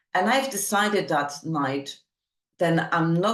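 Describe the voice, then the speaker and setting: A woman speaks with a non-native accent. Her pitch variation is ordinary. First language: not English. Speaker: summit host and speaker. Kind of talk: motivational talk. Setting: online summit.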